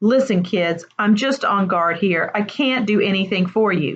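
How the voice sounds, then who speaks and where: In a gruff, put-on character voice, a woman speaks at medium pitch and a moderate pace with ordinary pitch variation against a quiet background. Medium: read story. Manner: gruff, offhand.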